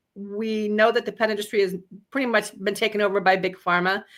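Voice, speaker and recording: On a very clean recording with a silent background, a woman talks at a fairly quick pace and medium pitch, her bright, sharp tone carrying fairly even intonation. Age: 60s. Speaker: pet health product company owner. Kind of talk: product presentation.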